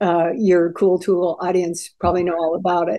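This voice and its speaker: Fairly low, dark, mellow female voice against a quiet background. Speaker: interview guest. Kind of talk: interview answer. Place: home room. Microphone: video call.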